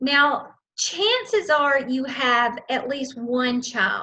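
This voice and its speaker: A woman is speaking. Her pitch is high. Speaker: early childhood program trainer. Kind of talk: training session walkthrough.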